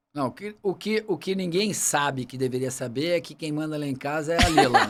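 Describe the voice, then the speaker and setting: Fairly high-pitched, a man talks at a fairly quick pace with ordinary pitch variation and big swings in loudness. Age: 60s. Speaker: medical doctor and water safety expert. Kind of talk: podcast interview. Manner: casual, halting with repetitions.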